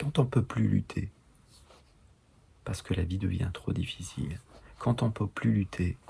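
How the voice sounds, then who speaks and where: A man speaks at a fairly slow pace in a very deep, low voice with a dark, mellow tone, vocal fry, very wide pitch swings and long, frequent pauses. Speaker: enneagram teacher. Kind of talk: online course lecture. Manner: halting.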